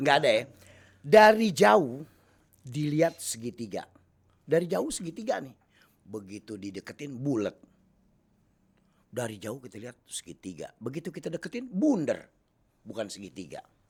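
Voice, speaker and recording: With a Jakarta accent and vocal fry, a man speaks at a fairly high pitch and a moderate pace, using very wide pitch swings, big swings in loudness and long, frequent pauses. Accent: Betawi Jakarta. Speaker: comedian. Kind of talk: casual talk show interview, riddles and jokes.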